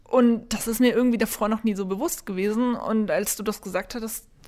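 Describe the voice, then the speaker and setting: A woman with an ordinary speaking voice talks in a fairly high pitch with ordinary pitch variation. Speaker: games journalist. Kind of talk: casual chat.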